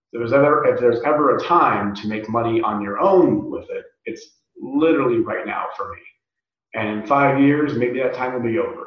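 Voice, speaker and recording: A man speaks at a moderate pace in an American accent, with audible room echo. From US West (rural desert California). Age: 30s. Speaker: professional wrestler. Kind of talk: casual interview.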